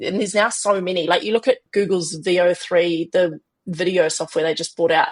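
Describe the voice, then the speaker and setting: With a New Zealand accent, a woman of medium pitch talks at a fairly quick pace with fairly even intonation. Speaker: business founder. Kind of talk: podcast interview.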